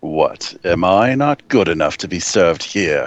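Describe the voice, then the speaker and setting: Putting on a character voice, a man speaks in a fairly low pitch with lively intonation. His pace is moderate. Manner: offended, confrontational.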